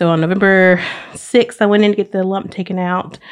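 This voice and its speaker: This woman speaks with a Southern US accent at a moderate pace. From Alabama (Oxford). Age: 30s. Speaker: university diversity administrator, cancer survivor. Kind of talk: casual interview chat, personal story.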